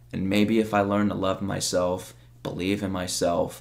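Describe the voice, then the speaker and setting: A man's fairly low, monotone voice with flat intonation at a moderate pace. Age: 20s. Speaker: YouTuber and streamer; YouTuber, streamer. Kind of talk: personal testimony monologue. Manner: emotional, unscripted. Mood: reflective, vulnerable. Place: home room.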